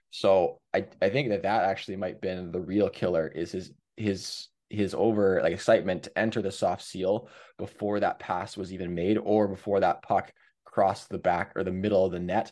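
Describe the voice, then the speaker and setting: Over a quiet background, a man with a Canadian accent speaks in a normal speaking voice, fairly low in pitch, at a moderate pace with fairly even intonation. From Canada, Hamilton, Ontario. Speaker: former pro hockey goalie and goalie coach. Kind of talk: casual interview with video breakdown.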